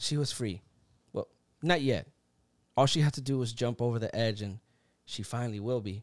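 In a Puerto Rican accent, a man talks with an animated tone and ordinary pitch variation. He leaves long, frequent pauses, and the sound is dry and close with no echo. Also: medium pitch for a man, moderate pace. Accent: Puerto Rican-tinged South Florida English. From Puerto Rico, raised in South Florida. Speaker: podcast host. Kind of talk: casual chat. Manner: animated, jokey.

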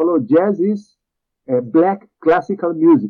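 With lively intonation, a man speaks in a Spanish accent. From Chile. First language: Spanish (speaking Portuguese). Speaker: composer. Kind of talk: casual interview.

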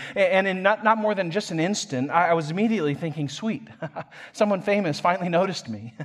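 A man speaks at a high pitch with ordinary pitch variation. His pace is very fast. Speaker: pastor. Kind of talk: sermon. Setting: church.

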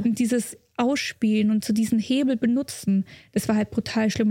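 A woman's somewhat breathy, dark and mellow voice, monotone and flat, at a fairly quick pace, with a dry, close sound and no echo. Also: very clean recording, silent background. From Germany, Munich. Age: 20s. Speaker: racing driver. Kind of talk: casual interview chat.

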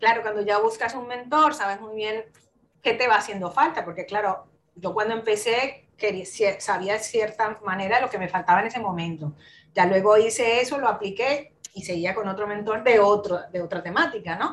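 Her pitch is fairly high and varies in an ordinary way. The woman talks at a moderate pace. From Colombia. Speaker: digital marketer. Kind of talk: interview. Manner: halting with repetitions.

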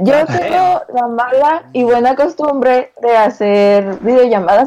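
A woman speaks with a northern Mexican accent at a fairly slow pace. Her tone is dark and mellow, and her intonation is lively. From Mexico, Sonora (Hermosillo). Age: 20s. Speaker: veterinary student. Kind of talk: casual chat.

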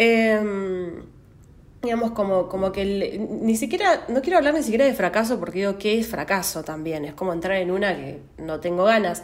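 A woman with a Rioplatense accent at a medium pitch, lively intonation and a moderate pace, over noticeable background noise. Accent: Argentine Spanish (rioplatense). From Argentina, Santa Rosa, La Pampa. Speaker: astrology podcaster. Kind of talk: solo podcast monologue. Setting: at home. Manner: hesitant, many fillers.

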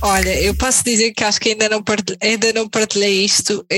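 This woman's voice sits fairly high. She delivers her words in a flat monotone. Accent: European Portuguese. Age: 30s. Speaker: tattoo artist. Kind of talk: casual chat.

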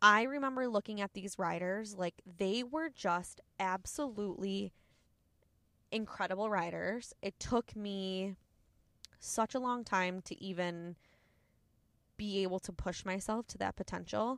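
Bright and sharp, a woman with a medium pitch speaks in an animated tone, fairly slowly, with ordinary pitch variation and long, frequent pauses, in a very clean, silent recording with a dry, close sound and no echo. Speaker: podcast host, cycling studio owner. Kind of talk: casual monologue. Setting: in a car.

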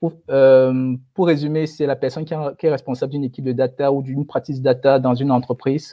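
Speaking at a fairly quick pace, a man uses a fairly high pitch and a monotone, flat intonation. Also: hardly any pauses. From Cameroon. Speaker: data science expert. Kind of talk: webinar interview.

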